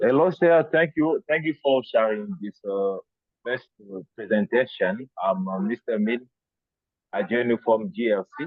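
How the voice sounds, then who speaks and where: The voice speaks with a Congolese accent at a fairly slow pace. Its pitch swings very widely. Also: man, medium pitch for a man. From DR Congo. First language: French. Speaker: researcher attending webinar. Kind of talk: question in online Q&A. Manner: halting, many fillers.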